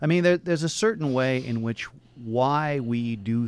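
With an American accent and an unremarkable speaking voice, a man talks at a moderate pace with ordinary pitch variation. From Portland, Oregon. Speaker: philosophy professor. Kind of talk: radio interview. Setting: radio studio.

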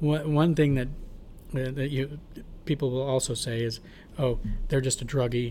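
With an American accent, a man speaks at a moderate pace in a fairly high pitch, sounding somewhat breathy with fairly even intonation. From Portland, Oregon. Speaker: homeless services director. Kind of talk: interview. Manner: halting.

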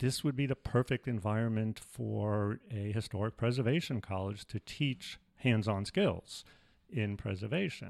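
In a very clean recording with a silent background, a man with a normal speaking voice and an American accent talks at a fairly slow pace, his medium pitch showing ordinary variation. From New York City, the Bronx. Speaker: retired preservation program founder. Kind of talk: casual interview.

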